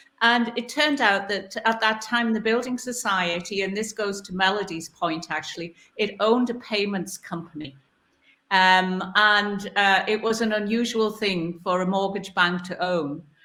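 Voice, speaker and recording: Speaking with a Newcastle accent, a woman uses a medium pitch and a bright, sharp tone. Her pace is moderate and her pitch variation ordinary. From northern England, Newcastle. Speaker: board director, panelist. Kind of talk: panel discussion.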